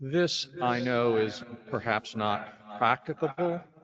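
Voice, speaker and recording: Very slowly, a man delivers his words. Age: 70s. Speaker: family member of service participant. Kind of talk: public comment at listening session. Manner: halting.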